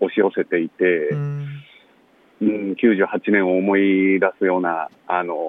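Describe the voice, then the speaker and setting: A fairly low-pitched man at a fairly slow pace, with noticeable background noise. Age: 30s. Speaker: son of a death-row inmate, author. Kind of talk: interview. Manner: halting, many fillers.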